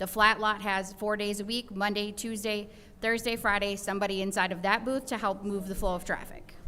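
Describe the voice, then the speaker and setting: A woman's bright, sharp voice at medium pitch, fairly quick and monotone, with audible room echo. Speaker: city department staff. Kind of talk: answering questions at council meeting. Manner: fast.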